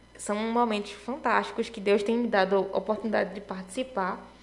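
An unremarkable speaking voice keeps a moderate pace and fairly even intonation. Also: woman. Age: 20s. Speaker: biomedicine student and Sunday school teacher. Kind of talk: casual chat.

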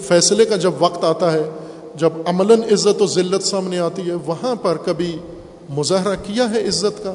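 A man's high voice, fairly even in intonation, over noticeable background noise. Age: 50s. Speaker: Islamic cleric. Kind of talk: sermon.

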